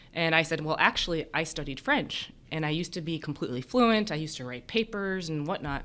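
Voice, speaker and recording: Bright and sharp in tone, a woman with an American accent speaks at a very deep, low pitch with lively intonation. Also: fairly quick pace, hardly any pauses. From United States. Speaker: emergency physician and professor. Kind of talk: interview conversation.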